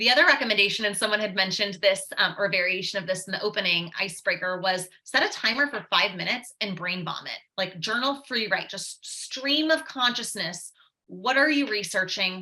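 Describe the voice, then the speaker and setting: Fairly quick pace with lively intonation and hardly any pauses. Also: woman, medium pitch for a woman. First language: Swiss German. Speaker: writing workshop presenter. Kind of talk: webinar presentation. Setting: online webinar.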